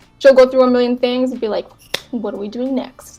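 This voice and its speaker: A woman's voice over music in the background. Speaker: graphic designer and illustrator. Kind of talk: casual interview chat.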